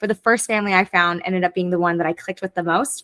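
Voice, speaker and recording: A bright, sharp tone with ordinary pitch variation and a dry, close sound with no echo. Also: woman. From grew up abroad in many countries (third culture kid), Canadian parents. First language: French. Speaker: former au pair and online English teacher. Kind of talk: casual interview chat.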